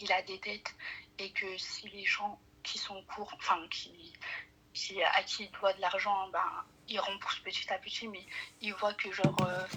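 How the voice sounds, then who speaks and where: A woman's medium-pitched voice at a very slow pace. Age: 20s. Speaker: caller. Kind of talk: phone call-in, personal problem. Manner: soft-spoken; hesitant, many fillers.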